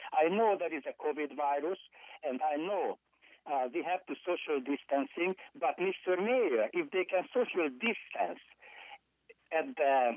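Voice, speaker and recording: The speaker has a non-native accent and a fairly slow pace. Long, frequent pauses break up the speech. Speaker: public commenter caller. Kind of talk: public comment. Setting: phone call. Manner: angry, forceful.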